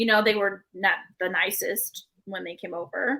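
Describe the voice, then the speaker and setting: A woman's raised, projected voice with a bright, sharp tone, at a fairly slow pace. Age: 20s. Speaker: podcast guest. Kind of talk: casual chat.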